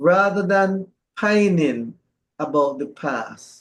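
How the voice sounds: A man's slow speech with ordinary pitch variation.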